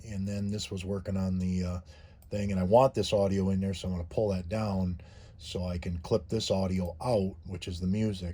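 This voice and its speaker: The delivery is somewhat breathy and monotone, with flat intonation, at a moderate pace. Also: man. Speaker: YouTuber living in a converted bus. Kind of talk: tutorial. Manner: halting, many fillers and repeats.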